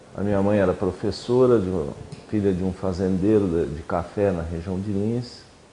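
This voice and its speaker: A man's fairly low voice, dark and mellow in tone, with fairly even intonation. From Brazil, São Paulo (city from age 12). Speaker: former student activist. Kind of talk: oral history interview.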